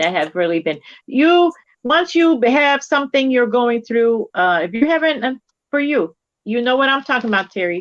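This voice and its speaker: At a moderate pace and a high pitch, a woman speaks in an animated tone with very wide pitch swings. The background is quiet and the sound is dry and close, with no echo. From Poland, moved to US at age 7. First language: Polish. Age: 50s. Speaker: crochet live-stream co-host. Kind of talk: casual chat.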